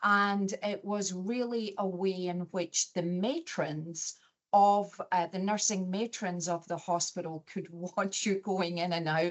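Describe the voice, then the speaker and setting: Speaking very slowly yet with hardly any pauses, a woman keeps a medium pitch and fairly even intonation. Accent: Scottish. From Scotland, Glasgow area. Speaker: chief nurse executive. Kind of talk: interview.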